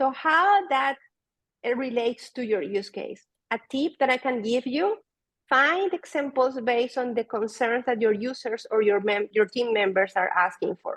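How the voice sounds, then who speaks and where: A woman with a Spanish accent, high in pitch, with lively intonation at a moderate pace, in a dry, close sound with no echo. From Venezuela. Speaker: data product manager. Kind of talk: conference talk.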